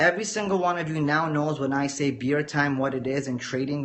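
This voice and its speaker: There is noticeable background noise and audible room echo as a man with a fairly high pitch speaks at a fairly quick pace with ordinary pitch variation. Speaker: forex trader teaching a course. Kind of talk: livestream lecture. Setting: live video stream. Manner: measured, teacher-like; casual, addresses viewers directly.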